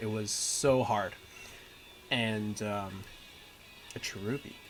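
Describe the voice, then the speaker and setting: Music plays behind a man as he talks. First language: Mandarin. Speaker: gaming streamer. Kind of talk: casual gameplay livestream commentary. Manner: casual, with frequent fillers.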